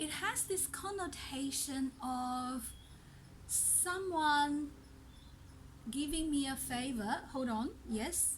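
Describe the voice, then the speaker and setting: Heard with audible room echo, a high-pitched woman speaks at a very slow pace with long, frequent pauses. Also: ordinary pitch variation. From China. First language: not English (Chinese dialect; Mandarin third language). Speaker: language teacher. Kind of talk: tutorial.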